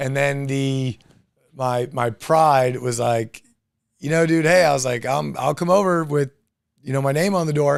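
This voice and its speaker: Intonation stays fairly even. The man talks at a moderate pace. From Florida, Tampa area (born Long Island, moved at seven). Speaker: real estate agent and team leader. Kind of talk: podcast interview.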